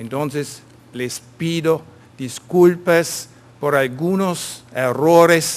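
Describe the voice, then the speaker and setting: This man has a German accent. His pitch varies in an ordinary way. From Germany. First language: German (speaking Spanish). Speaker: vocational training consultant. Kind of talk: conference presentation. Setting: conference stage with audience.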